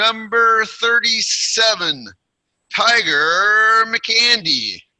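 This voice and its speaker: Using a raised, projected voice with a bright, sharp tone, a man with an American accent speaks at a high pitch and a very slow pace. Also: ordinary pitch variation. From Portland, Oregon, US Pacific Northwest. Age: 60s. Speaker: retired teacher giving a speech. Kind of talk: prepared personal speech at online club. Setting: online video meeting.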